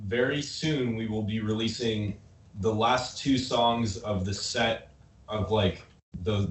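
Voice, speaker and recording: Against noticeable background noise, a man with an American accent talks at a medium pitch with ordinary pitch variation. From Nebraska. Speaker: rock band member. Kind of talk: casual chat. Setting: video call.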